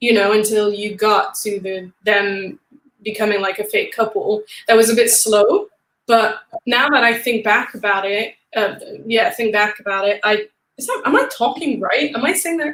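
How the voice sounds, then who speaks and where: Ordinary pitch variation comes through as the speaker goes at a moderate pace. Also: woman, fairly high pitch for a woman. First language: not English. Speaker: film podcast co-host. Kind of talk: casual chat.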